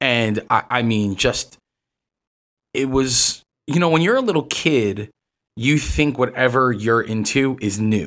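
A man with a New York accent at medium pitch, fairly slow pace, ordinary pitch variation and long, frequent pauses. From New York City. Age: 30s. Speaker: comic art gallery manager. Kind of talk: casual chat.

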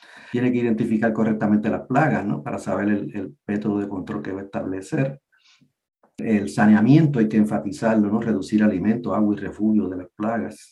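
This man's voice has a dark, mellow tone and big swings in loudness. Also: fairly low pitch for a man, ordinary pitch variation. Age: old. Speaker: retired agricultural extension entomologist. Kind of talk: interview. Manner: halting.

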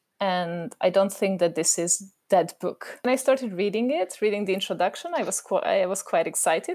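A woman with a Hungarian accent speaks at a medium pitch and a moderate pace. Her intonation is lively, and the recording is very clean with a silent background. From Hungary. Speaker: educational consultant and parent. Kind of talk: panel discussion.

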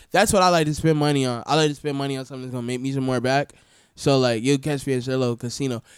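On a very clean recording with a silent background, a man talks very fast at a medium pitch with fairly even intonation. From US South, Florida. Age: 20s. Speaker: DJ. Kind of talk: casual chat. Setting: studio.

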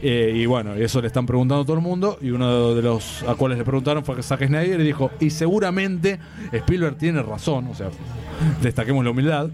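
The man's fairly quick speech competes with noticeable background noise. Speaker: comics commentator, DC advocate. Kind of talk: casual panel debate.

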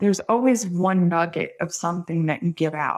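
With an American accent, a woman with an ordinary speaking voice talks at a moderate pace, medium pitch and fairly even intonation. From Brooklyn, New York. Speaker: psychic medium. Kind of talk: casual chat.

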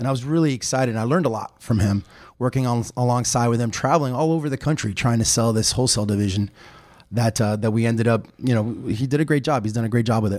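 A man with an American accent talks very fast, his medium pitch showing ordinary variation. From Miami area, Florida (Hialeah). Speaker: chamber of commerce president. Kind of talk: interview.

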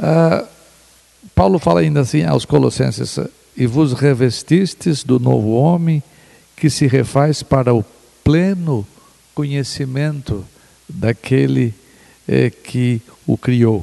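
A man's medium-pitched voice at a very slow pace, very even in loudness, with long, frequent pauses and music in the background. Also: lively intonation. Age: 60s. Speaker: pastor and theologian. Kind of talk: theological discussion. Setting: at a home.

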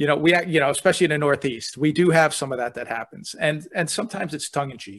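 Over a silent background in a very clean recording, a man with a fairly high pitch and ordinary pitch variation races along very fast, hardly pausing, with big swings in loudness. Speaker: podcast host, speaker and author. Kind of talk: casual interview conversation.

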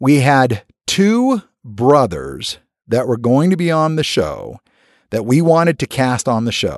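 Over a quiet background, a man with an American accent and an ordinary speaking voice, pitched fairly high, speaks at a fairly slow pace with lively intonation. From US (California, Alaska, Connecticut). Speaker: TV producer and host. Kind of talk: interview.

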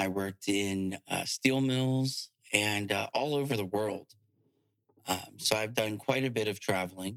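A man with an American accent uses an ordinary speaking voice, fairly low in pitch with ordinary pitch variation, at a fairly slow pace in a dry, close sound with no echo. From Virginia, small town (Urbana). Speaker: realtor. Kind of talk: casual interview.

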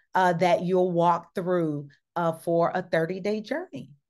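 A woman with a Southern US accent speaks at a medium pitch against a quiet background. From US South, Mississippi small town. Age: 50s. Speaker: diversity consultant and therapist. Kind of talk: casual interview chat. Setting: video call.

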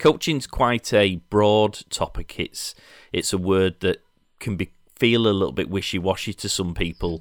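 A man's very deep, low voice with a Yorkshire accent. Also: dry, close sound with no echo. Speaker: podcast host. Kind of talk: casual interview. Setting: video call.

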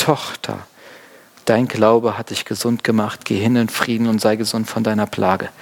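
There is noticeable background noise as a man at a medium pitch talks at a moderate pace. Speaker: pastor. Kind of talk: sermon. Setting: church. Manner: casual, conversational; warm, explanatory.

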